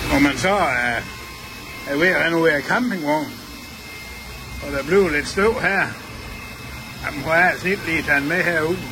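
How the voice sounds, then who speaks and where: A man's fairly high voice moves at a moderate pace with ordinary pitch variation and long, frequent pauses. Room echo is audible, along with noticeable background noise. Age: 60s. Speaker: customer reviewer, tool enthusiast. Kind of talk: product review demonstration. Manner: casual, chatty.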